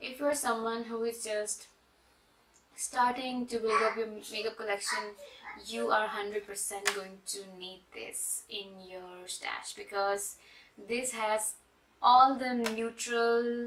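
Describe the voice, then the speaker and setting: The delivery is very slow, with fairly even intonation and big swings in loudness. Background noise is noticeable. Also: woman, fairly high pitch for a woman. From Pakistan, Karachi. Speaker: makeup artist and beauty blogger. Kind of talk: product review and makeup tutorial.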